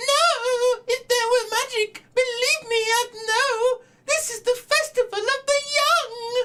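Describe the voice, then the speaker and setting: A put-on character voice, squeaky and extremely high in pitch. It moves along at a fairly slow pace. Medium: actual play. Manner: chirpy, excitable.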